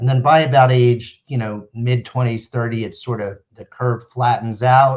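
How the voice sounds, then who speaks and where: A man with an American accent speaks at a moderate pace and a medium pitch, his voice somewhat breathy. His intonation is monotone and flat, while his loudness swings widely. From US Northeast, central New Jersey. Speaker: neurologist. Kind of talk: interview. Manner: explanatory, measured.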